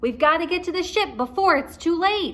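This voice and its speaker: A woman puts on a whiny character voice, pitched extremely high. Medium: read story. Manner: whining.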